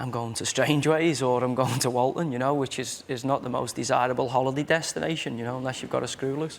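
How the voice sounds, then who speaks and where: A man with a Merseyside accent speaks at a fairly quick pace, his medium-pitched voice keeping a fairly even intonation. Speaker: footballer. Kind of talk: TV chat show interview answer.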